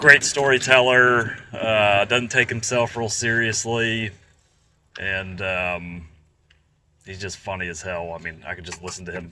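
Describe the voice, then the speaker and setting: A fairly low male voice with a slight Southern US accent, ordinary pitch variation, a fairly slow pace and big swings in loudness. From Georgia, US South. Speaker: restaurant franchise operator. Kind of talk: casual chat. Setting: outdoors on a golf course.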